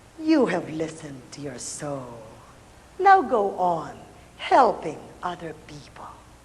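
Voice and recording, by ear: In a put-on character voice, a woman speaks slowly at a low pitch with very wide pitch swings, and the room echo is audible.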